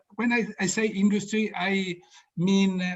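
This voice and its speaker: Someone with an Italian accent speaks at a fairly slow pace with ordinary pitch variation. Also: man. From Italy. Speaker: orchestra board member, panel speaker. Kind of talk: opening address. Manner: halting.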